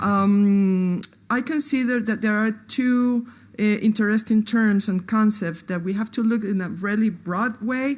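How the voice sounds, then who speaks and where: Against a quiet background, a woman speaks fairly slowly at a fairly high pitch, somewhat breathy, with fairly even intonation. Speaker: anthropologist. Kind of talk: conference talk. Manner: halting, many fillers.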